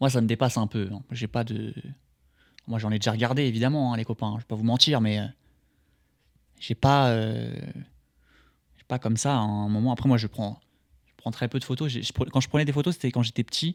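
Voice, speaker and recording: A man's medium-pitched voice with fairly even intonation, big swings in loudness and long, frequent pauses, in a dry, close sound with no echo on a very clean recording with a silent background. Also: fairly quick pace. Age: 20s. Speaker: streamer. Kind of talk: reaction commentary. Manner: hesitant, repeats words; casual.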